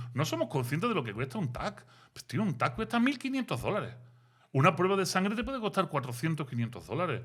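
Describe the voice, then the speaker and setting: A man at a very fast pace and fairly high pitch, with very wide pitch swings, on a very clean recording with a silent background. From Seville, Spain. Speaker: philosopher and author. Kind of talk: interview. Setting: studio. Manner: animated.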